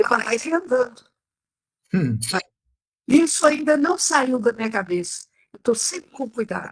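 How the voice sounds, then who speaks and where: A woman talks at a high pitch with very wide pitch swings. Her pauses are long and frequent. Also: moderate pace. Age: 80s+. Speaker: patient. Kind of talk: interview answer.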